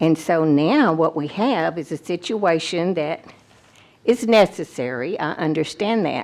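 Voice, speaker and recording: Speaking at a very slow pace, a woman with an American accent uses lively intonation at a fairly low pitch. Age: 80s+. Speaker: retired teacher, resident addressing county officials. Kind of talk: public comment at a meeting.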